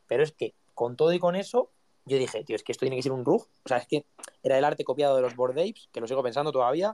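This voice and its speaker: A man talks at a very fast pace in a fairly high pitch, with ordinary pitch variation. His tone is dark and mellow, and the sound is dry and close with no echo. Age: 20s. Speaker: content creator and NFT collection founder. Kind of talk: casual interview chat.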